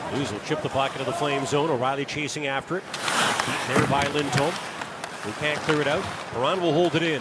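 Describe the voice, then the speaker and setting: A man with a fairly high pitch talks at a fairly quick pace amid noticeable background noise. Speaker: radio play-by-play announcer. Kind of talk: live radio sports commentary, play-by-play. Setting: radio broadcast booth at arena. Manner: fast, fluent, rapid-fire puck-tracking; energetic but steady, informative.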